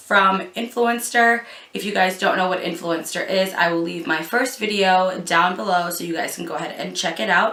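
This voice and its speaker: Over noticeable background noise, a woman at medium pitch talks at a moderate pace with ordinary pitch variation. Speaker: beauty youtuber. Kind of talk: product review vlog.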